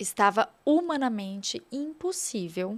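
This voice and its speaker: Here is a woman with a fairly high pitch. Her recording is very clean and the background silent. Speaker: TV presenter and influencer. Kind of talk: podcast interview.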